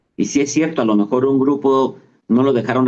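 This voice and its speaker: A man's voice at a fairly quick pace, with fairly even intonation. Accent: Mexican. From Mexico. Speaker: travel agency executive. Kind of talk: interview answer.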